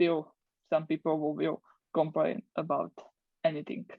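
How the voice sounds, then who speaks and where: In a Slovak accent, the speaker goes at a fairly slow pace with monotone, flat intonation. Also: woman. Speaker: English language student. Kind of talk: interview. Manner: halting.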